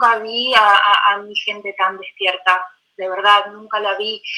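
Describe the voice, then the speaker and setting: A woman's very slow, fairly high-pitched speech in a Russian accent, with fairly even intonation. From Belarus (Gomel), then Buenos Aires from age 10. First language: Russian (speaking Spanish). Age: 30s. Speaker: poet. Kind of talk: interview.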